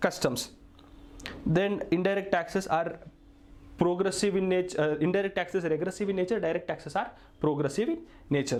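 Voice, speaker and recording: A man with a high voice and ordinary pitch variation talks at a fairly quick pace, his loudness very even, broken by long, frequent pauses. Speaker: tax lecturer. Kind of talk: lecture.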